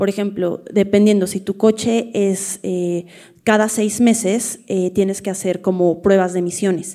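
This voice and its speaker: A woman with a Mexican accent speaks at a fairly slow pace in a monotone, flat delivery, her medium-pitched voice dark and mellow in tone. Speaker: audience member. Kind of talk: audience question exchange.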